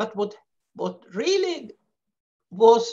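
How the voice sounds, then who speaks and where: Against a quiet background, a woman speaks with a Swedish accent. Her pace is very slow. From Sweden. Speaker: peace activist; webinar speaker. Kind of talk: presentation; webinar talk. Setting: video call. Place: home room. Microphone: headset.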